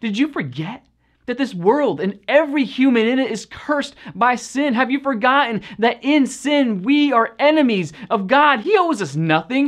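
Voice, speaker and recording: The background is quiet as the man talks at a moderate pace. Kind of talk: spoken word devotional delivery. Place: studio.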